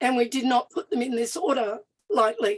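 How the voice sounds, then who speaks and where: With an Australian accent, a woman speaks at a high pitch with very wide pitch swings, in a dry, close sound with no echo. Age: 60s. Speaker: First Nations activist and party official. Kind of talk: panel talk. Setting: live event with audience and online. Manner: some hesitations and restarts.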